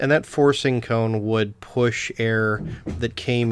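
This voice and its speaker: A man talks at a very slow pace with fairly even intonation. The recording is very clean, with a silent background. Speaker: lamp shop owner, restorer. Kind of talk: tutorial. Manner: hesitant, many fillers.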